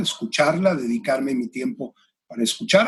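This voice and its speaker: This man's voice is fairly high. It is somewhat breathy. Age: 60s. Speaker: executive and career coach. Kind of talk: interview conversation. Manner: hesitant, many fillers.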